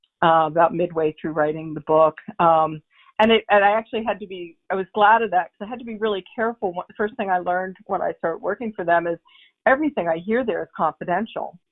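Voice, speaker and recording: A woman with an American accent talks at a very fast pace in a medium pitch. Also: ordinary pitch variation. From US Northeast (Long Island, New York). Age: 60s. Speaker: author. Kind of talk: interview. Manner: hesitant, many fillers.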